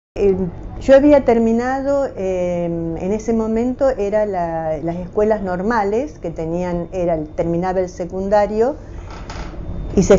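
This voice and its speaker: Over noticeable background noise and audible room echo, a woman speaks at a fairly slow pace with a medium pitch and ordinary pitch variation. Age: 70s. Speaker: retired teacher. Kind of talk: oral history interview. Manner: halting, many hesitations.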